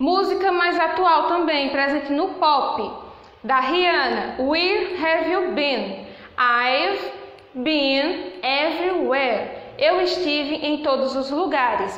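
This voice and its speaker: Against noticeable background noise and audible room echo, a woman speaks high-pitched and very slowly with very even loudness. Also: lively intonation. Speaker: English teacher. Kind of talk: lecture.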